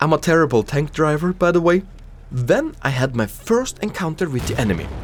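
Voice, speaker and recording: A man with a non-native accent speaks fairly quickly, his fairly high pitch rising and falling in lively intonation. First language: not English. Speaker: gaming youtuber. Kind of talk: gameplay commentary narration.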